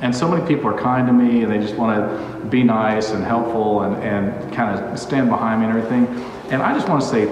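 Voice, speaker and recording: A fairly quick-paced man amid audible room echo and light background noise. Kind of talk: casual vlog chat. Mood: enthusiastic, upbeat. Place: empty room. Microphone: phone near.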